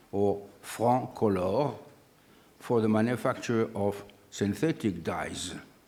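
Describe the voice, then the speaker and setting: A man speaks at a very slow pace with long, frequent pauses, his fairly low pitch and dark, mellow tone carrying ordinary pitch variation through audible room echo. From northern France (Oise). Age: 80s+. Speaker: scientist. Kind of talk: lecture.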